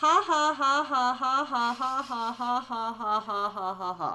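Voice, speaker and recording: She puts on a robotic character voice that sounds female, pitched high. The delivery moves at a fairly slow pace. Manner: flat, robotic like text-to-speech.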